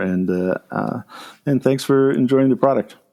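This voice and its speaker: The speaker has an unremarkable speaking voice, keeps a medium tempo, and varies pitch in an ordinary way. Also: man. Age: 60s. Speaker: food company founder and CEO. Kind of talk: interview.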